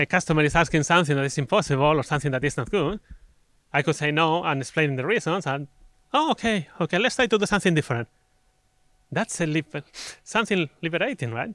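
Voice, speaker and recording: A man in a Spanish accent speaks at a fairly quick pace with a fairly high pitch and lively intonation, the sound dry and close with no echo on a very clean recording with a silent background. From Spain. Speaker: conference speaker. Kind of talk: conference talk.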